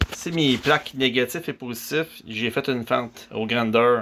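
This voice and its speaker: A man with a Quebec accent and a bright, sharp tone. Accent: Québécois French. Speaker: DIY hobbyist. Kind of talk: tutorial. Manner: talkative, with many hesitations.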